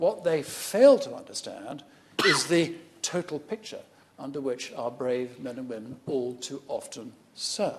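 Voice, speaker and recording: With a British accent, a man speaks with big swings in loudness. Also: fairly slow pace. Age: 60s. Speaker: member of parliament, army veteran. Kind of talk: parliamentary debate speech. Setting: parliament chamber.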